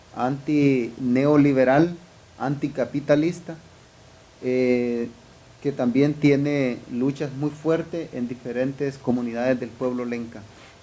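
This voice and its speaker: Audible room echo surrounds a man's voice. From Honduras. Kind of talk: lecture. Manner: halting, frequent fillers.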